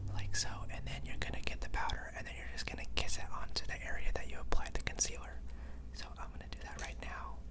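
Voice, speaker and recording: A man rattles along at a very fast pace, noticeable background noise underneath. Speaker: makeup school student and brand ambassador. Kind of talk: ASMR makeup tutorial. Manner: whispered, soft-spoken.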